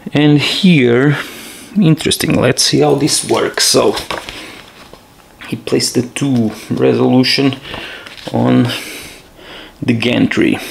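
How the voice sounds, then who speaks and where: Over noticeable background noise, a man with a non-native accent speaks at a very slow pace, leaving long, frequent pauses. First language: not English. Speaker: board game player showing gameplay. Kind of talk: solo board game playthrough tutorial. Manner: halting.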